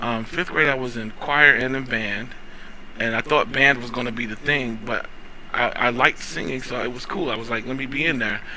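A man with an American accent speaks at a moderate pace and medium pitch over noticeable background noise. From North Carolina. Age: 40s. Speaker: opera singer. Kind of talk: casual chat. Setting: studio.

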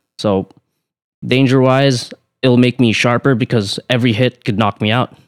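Dry and close with no echo, a man's medium-pitched voice stays monotone and flat. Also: moderate pace. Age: 20s. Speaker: professional boxer. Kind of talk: casual interview. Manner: soft-spoken.

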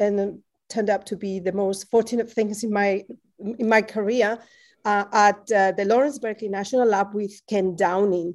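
A woman's medium-pitched voice with a Spanish accent, at a fairly slow pace, on a very clean recording with a silent background. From Spain, Madrid. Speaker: professor. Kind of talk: interview.

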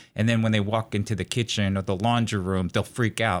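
Delivery comes at a fairly quick pace in a monotone, flat intonation. The recording is very clean, with a silent background. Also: man. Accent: American. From New York City area. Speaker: psychology professor. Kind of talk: interview, explanatory.

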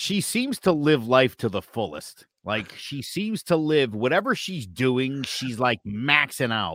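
This man speaks at a fairly slow pace and a medium pitch, his pitch swinging very widely. The recording is very clean with a silent background, and the sound is dry and close with no echo. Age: 40s. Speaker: podcast co-host. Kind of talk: casual chat.

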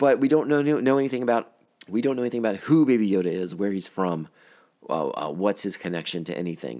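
Very fast and full of lively intonation, a man's voice carries a dark, mellow tone. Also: fairly low pitch for a man. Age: 40s. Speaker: podcast host reviewing a TV series. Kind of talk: casual solo podcast commentary. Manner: conversational with frequent fillers and repetitions.

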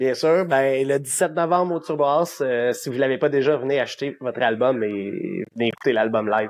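A man with a plain, everyday voice speaks at a moderate pace and medium pitch, his pitch varying in an ordinary way, with hardly any pauses. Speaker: rock musician. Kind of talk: interview.

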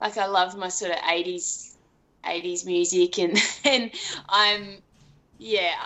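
A woman at medium pitch with an Australian accent, a very slow pace, fairly even intonation and long, frequent pauses. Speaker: elite marathon runner. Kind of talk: casual interview chat.

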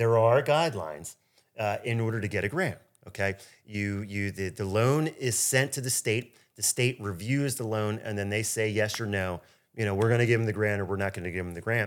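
A man speaks at a fairly low pitch and a fairly quick pace. His pitch variation is ordinary. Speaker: mortgage lender and podcast host. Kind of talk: casual interview chat. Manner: fast.

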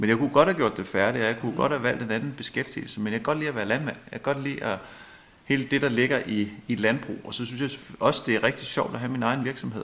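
Speaking at a very fast pace, the man uses a medium pitch with ordinary pitch variation. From Denmark, Holbæk area (Zealand). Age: 40s. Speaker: local politician and landowner farmer. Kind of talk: radio interview. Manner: hesitant, many fillers.

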